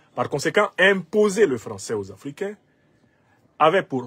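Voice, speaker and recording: The recording has a dry, close sound with no echo. A man with a Cameroonian accent speaks fairly slowly, his pitch swinging very widely. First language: Bassa (speaking French). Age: 50s. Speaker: political commentator. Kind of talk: political commentary.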